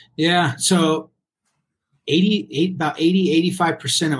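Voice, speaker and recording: The man has an American accent. There is a somewhat breathy sound to his voice. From Colorado, US. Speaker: business owner and former golf pro. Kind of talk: podcast interview.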